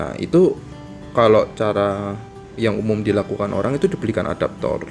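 A fairly low-pitched man with ordinary pitch variation over clear music in the background. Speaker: tech reviewer. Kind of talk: casual product tutorial. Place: home room.

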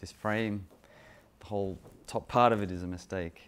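This man speaks at a moderate pace with an Australian accent and fairly even intonation. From Australia, Sydney. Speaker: photographer. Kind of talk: talking-head monologue about his photos. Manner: hesitant, many fillers. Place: kitchen.

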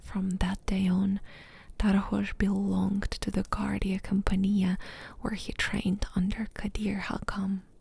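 This soft-spoken voice takes a dramatic tone at a fairly slow pace, in a dry sound with no echo. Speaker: ASMR gaming YouTuber. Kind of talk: whispered audiobook-style story reading, soothing ASMR bedtime narration. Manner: soft, hushed, slow and even, lulling; unhurried, gently dramatic, pausing between sentences. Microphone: studio mic.

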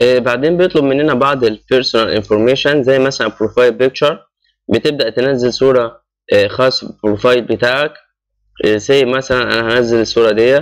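Keeping his loudness very even, a man with an Egyptian accent speaks at a moderate pace in a medium pitch with fairly even intonation. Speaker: YouTube channel host explaining job applications. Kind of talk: screen-recorded tutorial. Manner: casual, with frequent hesitations.

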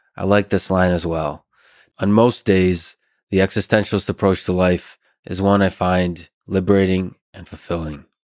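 A man speaks with a very deep, low pitch at a moderate pace. The background is quiet. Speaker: podcast host. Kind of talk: podcast intro monologue. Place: studio. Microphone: studio mic.

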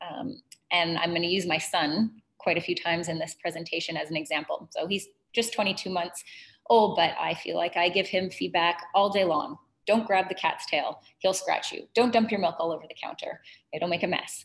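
A plain, everyday voice from a woman, pitched fairly low. Her pitch moves in an ordinary way at a moderate pace. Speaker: presenter. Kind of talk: webinar presentation. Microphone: webcam.

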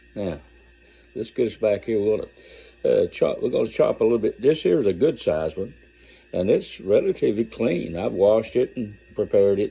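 With big pitch swings, a man speaks in a fairly low, dark, mellow voice that carries vocal fry and a husky, rough edge.

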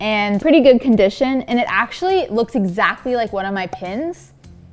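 Faint music plays in the background as a woman speaks at a moderate pace in a high pitch. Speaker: DIY vlogger. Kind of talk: casual vlog chat. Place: home room.

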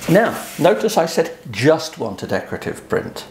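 The speech comes at a fairly slow pace with light background noise. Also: man. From eastern England, Suffolk coast; eastern England. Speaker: photographer; photographer explaining print sales. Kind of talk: tutorial. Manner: hesitant, with frequent ums. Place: home room.

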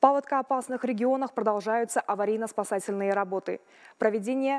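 A woman's fairly high voice with ordinary pitch variation and a fairly quick pace, over a quiet background. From Kazakhstan. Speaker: ministry spokesperson. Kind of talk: official briefing. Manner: formal. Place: hall.

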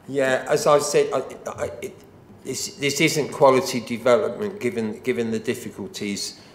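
A man talks at a moderate pace and a fairly high pitch. His pitch swings very widely, and there is audible room echo. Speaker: local councillor. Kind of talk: committee debate. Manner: halting, repeats words. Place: meeting room. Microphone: podium.

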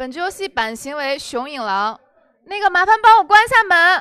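A woman's raised, projected voice at a moderate pace, with very wide pitch swings. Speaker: werewolf game moderator. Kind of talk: game moderation. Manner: formal. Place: studio.

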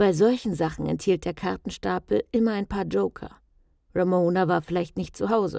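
A woman with a dark, mellow tone and vocal fry speaks at a moderate pace. The recording is very clean with a silent background, and the sound is dry and close with no echo. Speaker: audiobook narrator. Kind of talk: tense horror thriller narration, read aloud like a ghost story.

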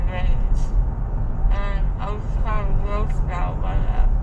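Loud background noise sits under a woman speaking at a very slow pace. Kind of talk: casual groggy chat. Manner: slurred, groggy post-surgery speech. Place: car. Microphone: phone near.

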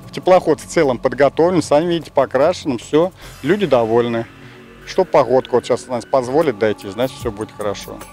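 Faint music plays in the background as a man talks at a fairly quick pace. The sound is dry, with no echo. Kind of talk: interview answer. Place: boat. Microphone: handheld.

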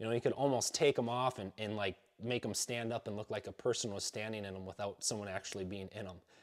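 The speaker is a man with fairly even intonation. The background is quiet. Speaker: hunter reviewing gear. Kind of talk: product review talk. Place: home room.

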